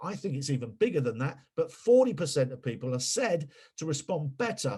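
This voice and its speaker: A somewhat breathy man at a fairly quick pace, with very wide pitch swings. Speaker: PR consultant and webinar speaker. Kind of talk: webinar presentation. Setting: webinar. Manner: animated.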